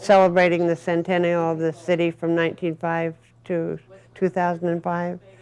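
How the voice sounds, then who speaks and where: Noticeable background noise sits behind a woman with an American accent. She speaks at a moderate pace with a fairly low pitch. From Las Vegas, Nevada. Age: 70s. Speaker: sign designer. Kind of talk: interview. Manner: halting, with many fillers.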